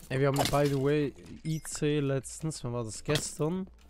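With a Swiss accent, a man speaks at a fairly high pitch. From Switzerland. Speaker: gaming streamer. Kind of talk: casual live stream chat. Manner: loud.

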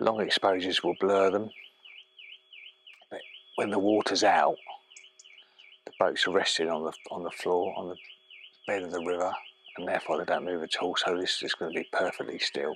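Recorded dry with no echo and light background noise, a man speaks at a moderate pace with long, frequent pauses. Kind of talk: casual vlog chat. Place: waterside.

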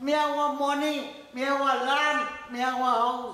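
A man with a Trinidadian accent uses a raised, projected voice at an extremely high pitch, flat and monotone with very even loudness. He speaks at a fairly slow pace, with audible room echo. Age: 80s+. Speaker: elderly interviewee. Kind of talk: interview answer. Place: home room.

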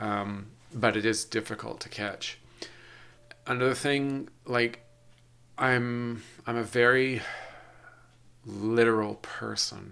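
With a bright, sharp tone and monotone, flat intonation, a man speaks at a very slow pace with long, frequent pauses. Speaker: podcast host. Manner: robotic. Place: home room. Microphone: webcam.

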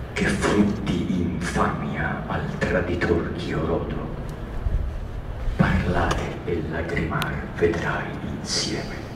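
A man speaks with long, frequent pauses amid noticeable background noise and audible room echo. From Italy. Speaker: actor. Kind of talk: poetry reading. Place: stage.

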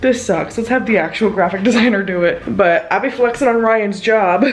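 A woman speaks at a fairly high pitch and a moderate pace, with ordinary pitch variation. Audible room echo and noticeable background noise are present. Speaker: vlogger. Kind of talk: casual vlog chat.

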